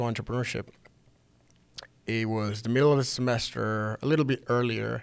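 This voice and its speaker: A man's medium-pitched voice with a Spanish accent and fairly even intonation. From Venezuela. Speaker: startup founder. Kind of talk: interview.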